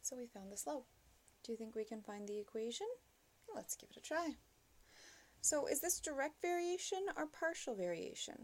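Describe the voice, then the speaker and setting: A woman with a high pitch and very wide pitch swings speaks with long, frequent pauses. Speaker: math teacher. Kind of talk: lecture. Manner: slow.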